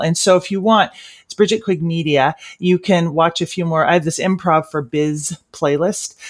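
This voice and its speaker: In a very clean recording with a silent background, a woman with a plain, everyday voice speaks at a fairly low pitch with ordinary pitch variation. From Washington State, US. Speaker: comedian and corporate trainer. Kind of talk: interview.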